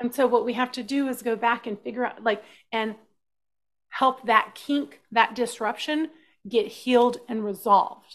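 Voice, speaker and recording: A woman's normal speaking voice, fairly high in pitch, with an American accent, fairly even intonation and a moderate pace against a quiet background. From US South, Texas (South Austin). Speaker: shamanic practitioner. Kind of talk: interview.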